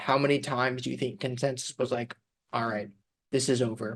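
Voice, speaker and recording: Male voice, medium in pitch. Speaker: finance podcast host. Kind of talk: casual chat. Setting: studio, co-host across the table. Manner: monotone.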